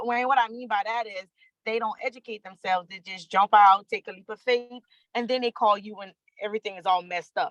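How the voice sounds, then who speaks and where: The voice moves at a very fast pace, with ordinary pitch variation and big swings in loudness. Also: woman, fairly high pitch for a woman. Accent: American. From Louisiana. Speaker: freight dispatcher. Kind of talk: casual chat.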